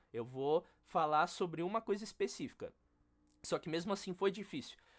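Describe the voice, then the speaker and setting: Heard on a very clean recording with a silent background, a man with a normal speaking voice talks with lively intonation. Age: 20s. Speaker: percussionist and music educator. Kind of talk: casual interview chat.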